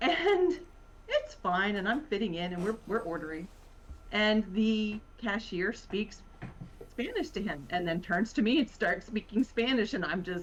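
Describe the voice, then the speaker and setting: A woman with a slight Virginia accent talks at a fairly slow pace with lively intonation over noticeable background noise. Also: fairly high pitch for a woman. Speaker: writer. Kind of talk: casual chat.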